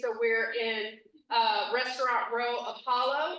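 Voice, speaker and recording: Audible room echo surrounds a woman's raised, projected voice at high pitch. Her tone is bright and sharp, and her pace fairly slow. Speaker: small business owner, veteran. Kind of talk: promotional announcement. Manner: loud.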